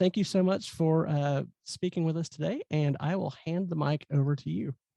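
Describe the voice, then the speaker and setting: Someone speaks at a fairly slow pace with a Southern US accent. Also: quiet background. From US South. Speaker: event host. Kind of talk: speaker introduction. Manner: hesitant, many fillers.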